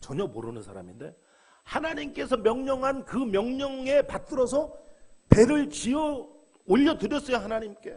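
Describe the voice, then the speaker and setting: A man with an extremely high pitch speaks at a fairly slow pace, with ordinary pitch variation and big swings in loudness. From South Korea. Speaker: pastor. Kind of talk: sermon. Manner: animated.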